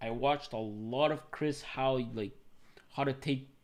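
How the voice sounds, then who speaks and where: A man speaks with a Venezuelan accent at a medium pitch. His intonation is fairly even and his pace fairly slow. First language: Spanish. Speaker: tech YouTuber and software developer. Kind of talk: live stream Q&A with chat. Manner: casual, filler-heavy. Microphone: new mic.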